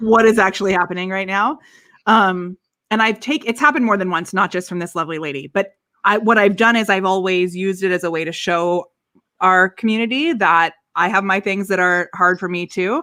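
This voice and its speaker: A bright, sharp tone at a fairly quick pace with ordinary pitch variation. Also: woman, medium pitch for a woman. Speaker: business coach for live video. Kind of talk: casual chat. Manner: fast.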